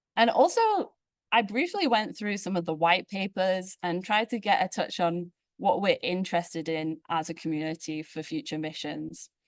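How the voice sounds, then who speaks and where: Speaking at a moderate pace in a normal speaking voice, a woman has a medium pitch and ordinary pitch variation, recorded dry and close with no echo. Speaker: space physicist, postdoctoral researcher. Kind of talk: invited tutorial talk. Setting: conference plenary with audience.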